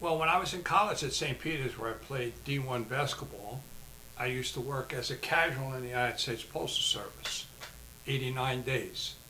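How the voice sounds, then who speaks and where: Amid noticeable background noise and audible room echo, a man with an American accent talks at a fairly quick pace in a medium pitch with ordinary pitch variation. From New Jersey, Jersey City. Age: 70s. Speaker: artist and martial arts instructor, retired postmaster. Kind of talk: casual interview. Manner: halting, frequent fillers.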